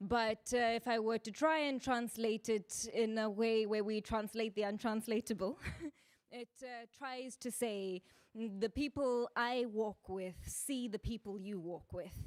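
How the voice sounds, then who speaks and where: Speaking at a fairly slow pace with a South African accent, a woman uses a fairly high pitch and fairly even intonation, in a dry, close sound with no echo. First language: isiZulu. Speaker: speaker. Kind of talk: public talk.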